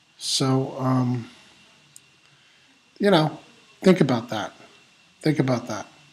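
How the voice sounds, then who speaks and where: A man's medium-pitched voice at a very slow pace, with long, frequent pauses and ordinary pitch variation. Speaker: online business blogger and vlogger. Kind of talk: casual talking-head vlog monologue. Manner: halting, many fillers.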